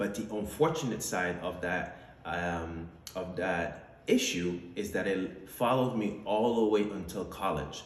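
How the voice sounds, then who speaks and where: With hardly any pauses, a man at very deep, low pitch speaks at a fairly slow pace amid audible room echo and noticeable background noise. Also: ordinary pitch variation. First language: French. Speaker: entrepreneur, vlogger. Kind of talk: personal testimony monologue. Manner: casual with many fillers.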